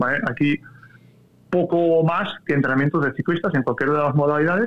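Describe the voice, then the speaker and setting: Ordinary pitch variation marks this speech, delivered at a moderate pace. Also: man. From Catalonia, Spain. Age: 30s. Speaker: cycling coach. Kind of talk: interview conversation.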